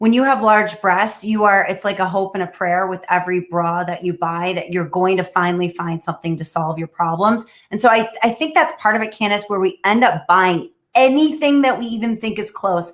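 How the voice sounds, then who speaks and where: A woman's medium-pitched voice at a fairly quick pace, with ordinary pitch variation and hardly any pauses. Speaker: startup founder pitching. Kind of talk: answering judges' questions.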